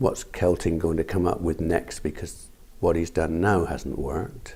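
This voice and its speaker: Speaking at a moderate pace in a West Country accent, a man has a very deep, low pitch and a dark, mellow tone. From Somerset, England. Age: 60s. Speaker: farmer. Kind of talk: oral history interview.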